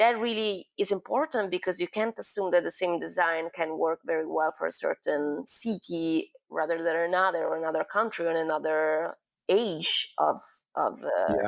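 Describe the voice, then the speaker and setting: A woman's fairly low voice in an Italian accent, moderate pace and ordinary pitch variation, with a dry, close sound with no echo on a very clean recording with a silent background. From Milan, Italy. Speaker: experiential designer and new media artist. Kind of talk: interview answer.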